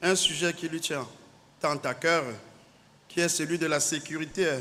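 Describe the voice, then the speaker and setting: Fairly high-pitched male voice at a moderate pace. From Cameroon. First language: native Cameroonian language (speaking French). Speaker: naval officer. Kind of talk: conference speech. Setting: conference hall. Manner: formal.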